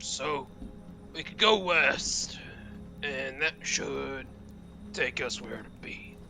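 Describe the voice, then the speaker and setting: Over clear background music, a man uses a put-on character voice. He talks at a very slow pace with long, frequent pauses. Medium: actual play.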